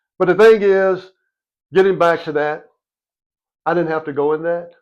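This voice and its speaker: A Louisiana accent with fairly even intonation. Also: man, high pitch for a man, moderate pace. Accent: Southern US (Louisiana). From US South, Monroe, Louisiana. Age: 60s. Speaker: podcast host, former officer. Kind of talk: casual interview chat.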